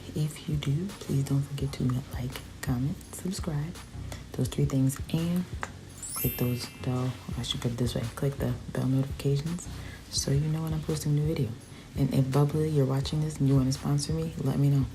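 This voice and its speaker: With music in the background, a woman speaks quietly at a very deep, low pitch, at a moderate pace with ordinary pitch variation and long, frequent pauses. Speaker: beauty vlogger. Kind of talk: casual chat to viewers; makeup tutorial. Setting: at home at night.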